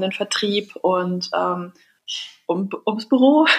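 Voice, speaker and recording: A woman's medium-pitched voice moves along very slowly. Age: 20s. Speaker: entrepreneur. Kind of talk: interview.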